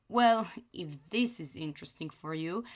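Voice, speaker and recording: Very slowly and with very wide pitch swings, a woman with a non-native accent speaks in a very clean recording with a silent background. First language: non-native English speaker. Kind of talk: casual anime review talk.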